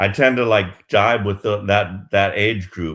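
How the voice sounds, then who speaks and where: This is a man with a plain, everyday voice, pitched fairly low. He talks at a fairly slow pace with ordinary pitch variation. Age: 60s. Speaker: yoga teacher. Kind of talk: casual chat. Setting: live stream.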